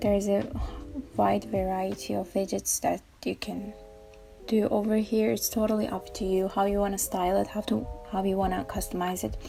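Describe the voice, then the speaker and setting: Someone with a non-native accent talks at a moderate pace while music plays in the background. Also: woman. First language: not English. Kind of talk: casual tech tutorial talk. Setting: home recording, imperfect audio.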